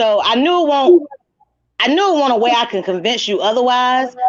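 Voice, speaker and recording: A woman speaks loudly at a high pitch. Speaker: livestream host. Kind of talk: casual chat.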